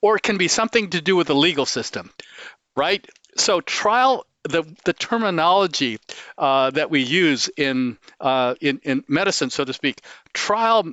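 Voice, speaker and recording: Speaking at a fairly slow pace, a man with a high pitch for a man uses very wide pitch swings and a passionate tone. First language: not English. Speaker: cancer researcher. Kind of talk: interview. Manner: halting, many fillers.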